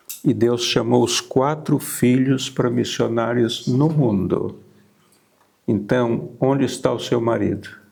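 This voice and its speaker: Very slow and very even in loudness, a man speaks at medium pitch with fairly even intonation. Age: 80s+. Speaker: missionary pastor. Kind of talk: testimony.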